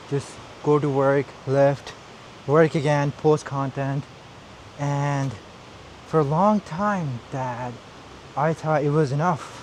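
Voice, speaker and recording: Over noticeable background noise, a man speaks at a very slow pace with fairly even intonation and long, frequent pauses. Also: fairly high pitch for a man. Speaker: vlogger. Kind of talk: casual vlog monologue.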